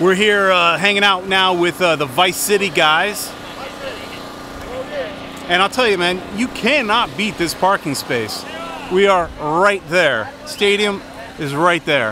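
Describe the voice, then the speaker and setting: Over noticeable background noise, a man speaks in a raised, projected voice at a fairly slow pace with lively intonation and long, frequent pauses, in a dry sound with no echo. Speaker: fan vlogger. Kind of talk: casual vlog chat. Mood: upbeat, excited fan. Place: street. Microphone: phone near.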